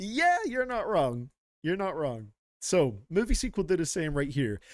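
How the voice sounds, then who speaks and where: An animated, fairly slow delivery with very wide pitch swings in a very clean recording with a silent background. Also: man, high pitch for a man. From Scotland, near Glasgow. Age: 20s. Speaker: music reaction streamer. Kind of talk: casual live-stream commentary.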